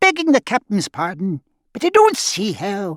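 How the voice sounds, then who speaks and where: A man uses a put-on character voice pitched high. He speaks at a moderate pace. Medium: read story. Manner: deferential, simple.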